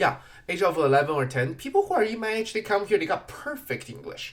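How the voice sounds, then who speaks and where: A man's high-pitched voice at a moderate pace, with very wide pitch swings and a slight non-native accent. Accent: slight foreign. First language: not English. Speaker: podcast host. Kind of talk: casual monologue. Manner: halting.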